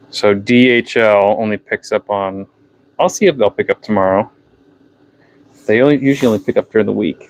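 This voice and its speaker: Speaking at a fairly quick pace yet with long, frequent pauses, a man with a fairly low pitch and a slight New Hampshire accent uses ordinary pitch variation, recorded with a dry, close sound and no echo. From New Hampshire, US. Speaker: fishing tackle seller and livestreamer. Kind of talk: casual livestream chat. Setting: unheated workshop, livestream.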